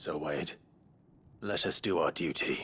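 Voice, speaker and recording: A man slips into a put-on character voice, raspy and fairly slow in delivery. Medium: video game. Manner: measured, earnest.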